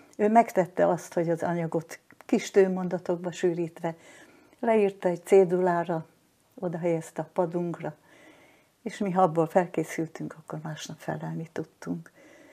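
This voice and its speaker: With a dark, mellow tone and a fairly low pitch, a woman speaks at a moderate pace with fairly even intonation, long, frequent pauses, and big swings in loudness. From southern Slovakia, Hungarian minority (Losonc). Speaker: retired teacher, war-era witness. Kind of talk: personal testimony in interview. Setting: at her home.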